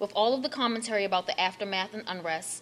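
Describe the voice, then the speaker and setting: Over noticeable background noise, a woman with an American accent speaks very fast at a medium pitch with ordinary pitch variation. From Baltimore, Maryland. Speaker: author. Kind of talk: reading aloud a foreword. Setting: library event with audience.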